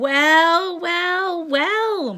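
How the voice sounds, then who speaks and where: A woman puts on a character voice, pitched extremely high. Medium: read story.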